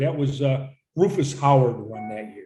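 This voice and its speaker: A man with a fairly high voice speaks in a room with audible echo while music plays in the background. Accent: American. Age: 70s. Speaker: gym owner. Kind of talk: casual chat.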